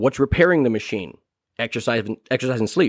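A man with an American accent talks at a very fast pace and medium pitch. The sound is dry and close with no echo, and the background is quiet. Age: 30s. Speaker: podcast host. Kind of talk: casual monologue. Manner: halting, many fillers.

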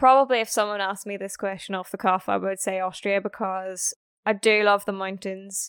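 A woman's medium-pitched voice with a Northern Irish accent at a fairly quick pace, dry and close with no echo, in a very clean recording over a silent background. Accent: Northern Irish (Belfast). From Northern Ireland, Belfast. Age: 20s. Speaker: snowboard instructor and van life vlogger. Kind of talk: casual interview chat. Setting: face-to-face recording.

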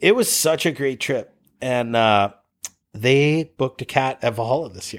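A man speaks in a normal speaking voice with an American accent at a medium pitch. His pace is moderate, with ordinary pitch variation and big swings in loudness. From US Midwest, Cleveland, Ohio. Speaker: snowboard lodge founder. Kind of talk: casual interview. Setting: office.

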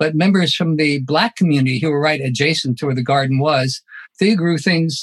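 This man's fairly high voice sounds somewhat breathy, recorded dry and close with no echo, moving at a moderate pace with ordinary pitch variation. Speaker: professor. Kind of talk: panel discussion. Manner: formal.

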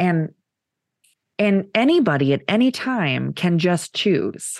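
With lively intonation and an animated tone, a woman speaks at a fairly low pitch over a quiet background. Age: 30s. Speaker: podcast co-host. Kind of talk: casual chat.

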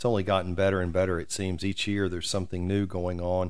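In a room with audible echo, a man speaks with a very deep, low pitch and a monotone, flat intonation. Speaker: community podcast host. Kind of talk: interview. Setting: office.

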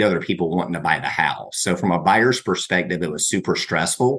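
His pitch is very deep and low. This man speaks at a fairly quick pace. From coastal Georgia, Brunswick. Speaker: mortgage broker. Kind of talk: interview.

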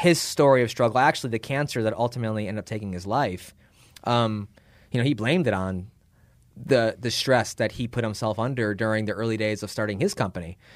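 Talking very quickly, this speaker has an American accent. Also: man, medium pitch for a man, ordinary pitch variation. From Chicago, US Midwest. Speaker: tech startup founder. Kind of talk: casual interview. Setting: in person.

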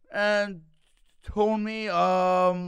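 A man speaks in a flat monotone. The recording is very clean, with a silent background. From Toronto, Canada. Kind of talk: casual chat. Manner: stuttering, jokes around.

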